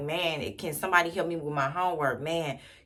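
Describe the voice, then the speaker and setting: Over noticeable background noise, a woman speaks with a very deep, low pitch and fairly even intonation. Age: 50s. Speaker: youth center founder and ministry leader. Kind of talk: casual personal vlog talk. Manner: slow; halting, repeats words.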